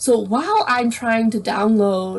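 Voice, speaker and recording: Her intonation fairly even, a woman with a plain, everyday voice talks at a fairly high pitch. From Canada. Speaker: blind YouTuber. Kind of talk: casual chat.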